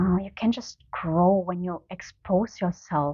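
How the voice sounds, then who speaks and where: Somewhat breathy woman with a German accent, medium in pitch, at a moderate pace. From Germany, Berlin. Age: 30s. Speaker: artist and tattooer. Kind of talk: scripted video introduction. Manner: hesitant, many fillers. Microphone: poor mic, bad sound quality.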